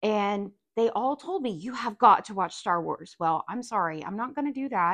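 In a dry, close recording with no echo and a quiet background, an unremarkable speaking voice moves at a moderate pace. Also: woman. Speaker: parent. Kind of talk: casual chat.

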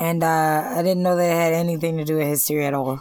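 An ordinary speaking voice belongs to this woman, who speaks at a fairly low pitch with ordinary pitch variation. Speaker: podcast co-host. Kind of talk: casual chat about movies.

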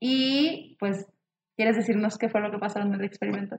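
A woman speaks with fairly even intonation. It is a plain, everyday voice. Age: 20s. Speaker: biotechnology student podcast co-host. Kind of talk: casual chat.

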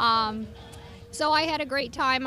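A woman with a high pitch speaks at a fairly slow pace amid audible room echo. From Skagit Valley, Washington. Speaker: horse rider and riding teacher. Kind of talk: interview. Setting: county fair. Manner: halting.

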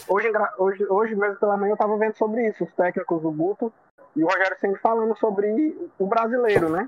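Ordinary pitch variation in a man's high voice. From Ceará, Brazil. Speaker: football fan panelist. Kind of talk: casual chat.

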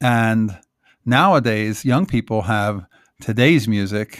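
A man at a fairly low pitch and fairly slow pace, in a very clean recording with a silent background. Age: 50s. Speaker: photographer. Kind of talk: solo podcast monologue.

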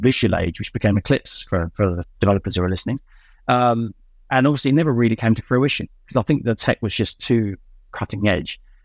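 Recorded very cleanly against a silent background, a man with an ordinary speaking voice talks at a medium pitch and a fairly quick pace with ordinary pitch variation. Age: 50s. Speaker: tech company CEO. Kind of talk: interview.

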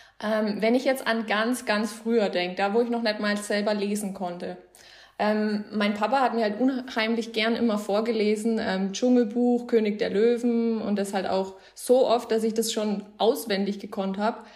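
A woman with a fairly high voice speaks at a moderate pace in a flat monotone, with noticeable noise in the background. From Bavaria, Germany. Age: 20s. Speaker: book influencer. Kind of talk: casual chat.

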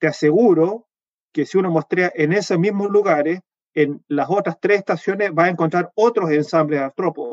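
A man's high voice holds very even loudness and ordinary pitch variation, with a dry, close sound and no echo. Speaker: entomologist and university researcher. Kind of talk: interview. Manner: fast; hesitant, many fillers.

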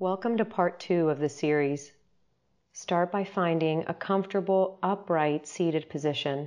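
Against a quiet background, a woman has an unremarkable speaking voice, fairly low in pitch with ordinary pitch variation. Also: very even loudness. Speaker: meditation guide. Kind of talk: guided meditation. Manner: slow, calm, soothing; gentle, unhurried, with long pauses.

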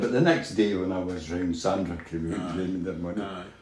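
Noticeable background noise sits under a man's very deep, low voice. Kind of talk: elder life story. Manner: rambling, anecdotal storyteller; chuckling, easygoing, with a Scottish lilt.

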